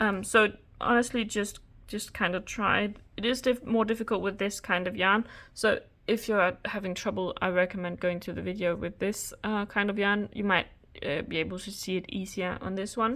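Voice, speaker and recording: Speaking with a non-native accent, a woman uses a medium pitch and fairly even intonation at a moderate pace. The recording is very clean, with a silent background. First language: not English. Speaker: crochet tutorial creator. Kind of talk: tutorial. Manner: halting, many fillers.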